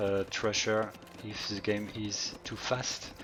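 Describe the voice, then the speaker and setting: A man speaks at a fairly low pitch with a French accent. Noticeable noise sits in the background. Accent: French accent, says his English is bad. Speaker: game caster. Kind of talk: live commentary. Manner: halting.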